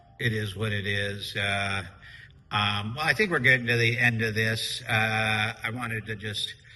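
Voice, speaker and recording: A man speaks loudly at medium pitch and a fairly slow pace. His tone is bright and sharp, with fairly even intonation. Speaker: podcast co-host and business owner. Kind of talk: casual chat.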